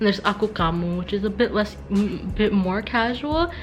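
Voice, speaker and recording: With music in the background, a woman speaks at a medium pitch. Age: young. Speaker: vlogger. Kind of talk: casual vlog.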